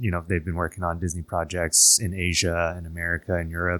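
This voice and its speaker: A man speaks with a Canadian accent in a very deep, low voice and a monotone, flat delivery. The recording is very clean, with a silent background. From Canada, Toronto. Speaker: theme park project manager. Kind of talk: interview.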